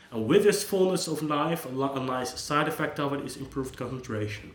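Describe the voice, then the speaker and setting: Amid noticeable background noise and audible room echo, a man with a Dutch accent and medium pitch talks at a fairly quick pace with ordinary pitch variation. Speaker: psychologist. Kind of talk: unscripted monologue. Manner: casual, with hesitations and restarts.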